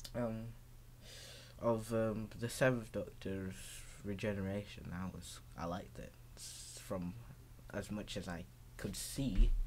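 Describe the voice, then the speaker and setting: A man with a fairly low voice speaks at a fairly slow pace, with ordinary pitch variation and big swings in loudness. Long, frequent pauses break up his speech, and room echo is audible. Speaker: video blogger. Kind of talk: casual vlog monologue. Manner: halting, many fillers and restarts.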